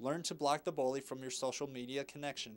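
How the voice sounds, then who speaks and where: A man speaks with an American accent. His pitch is fairly high for a man. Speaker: news reporter. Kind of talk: TV news report voice-over.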